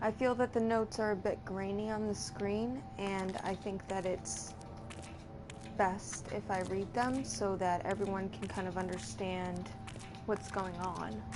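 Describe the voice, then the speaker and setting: Soft-spoken and fairly slow, a woman with a medium pitch makes very wide pitch swings, with music in the background and audible room echo. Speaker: gameplay streamer. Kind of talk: live game commentary with reading notes aloud.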